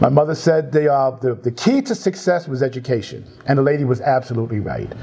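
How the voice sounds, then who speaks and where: Speaking very fast at a medium pitch with ordinary variation, a man in a New York accent comes through noticeable background noise. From New York City, Bronx. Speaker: tech industry team lead. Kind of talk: interview. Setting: livestream.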